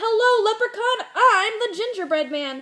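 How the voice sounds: A woman's put-on character voice, extremely high and bright with a sharp edge, lively in intonation at a moderate pace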